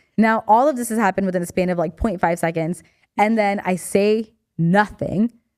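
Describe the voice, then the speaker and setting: A woman's animated tone at a fairly quick pace, with ordinary pitch variation. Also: medium pitch for a woman. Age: 30s. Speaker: podcast co-host. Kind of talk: casual chat. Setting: studio. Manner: fast.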